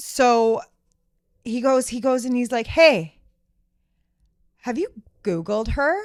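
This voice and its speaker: A loud, high-pitched woman at a very slow pace with lively intonation. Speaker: podcast guest. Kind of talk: casual chat. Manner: animated.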